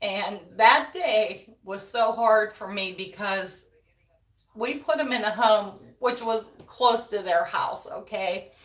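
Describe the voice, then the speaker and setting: This woman talks at a very slow pace with an American accent. Her medium pitch shows ordinary variation. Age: 60s. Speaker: wreath-making YouTuber. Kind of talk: casual livestream chat. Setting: live stream. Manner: chatty.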